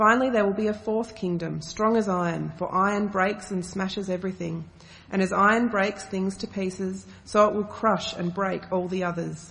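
A woman speaks at a moderate pace with few pauses and fairly even intonation. Her medium-pitched voice carries vocal fry and a fairly bright tone.

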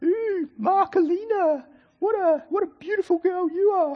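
A man in a put-on character voice, using falsetto at an extremely high pitch, at a fairly slow pace. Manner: mocking, teasing.

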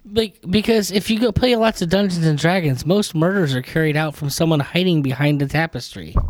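A high-pitched man with an American accent, lively intonation and very even loudness, fairly quick with hardly any pauses, over noticeable background noise. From New York. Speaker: podcast guest. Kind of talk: casual chat.

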